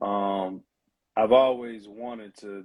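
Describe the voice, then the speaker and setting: Speaking at a fairly slow pace, a man with a Southern accent uses a medium pitch and fairly even intonation. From US South, Mississippi. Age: 20s. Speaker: rapper. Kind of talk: interview.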